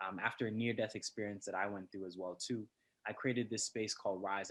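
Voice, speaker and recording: Speaking with a Toronto accent, a man uses a fairly low pitch and a fairly quick pace. His intonation stays monotone and flat. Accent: Canadian, Toronto. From Canada, Scarborough, Toronto. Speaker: poet. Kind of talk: interview.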